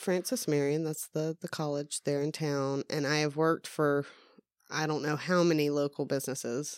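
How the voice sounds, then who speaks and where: Here a woman speaks with a slight Southern US accent and a very deep, low pitch at a moderate pace. The recording is very clean, with a silent background and a dry, close sound with no echo. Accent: mild Southern US. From US South. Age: 30s. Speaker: podcast guest. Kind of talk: casual chat.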